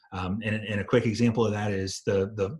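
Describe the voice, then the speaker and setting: A man speaks at a fairly quick pace in a fairly low, somewhat breathy voice with monotone, flat intonation. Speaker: EMT instructor and firefighter. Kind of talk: lecture. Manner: fast.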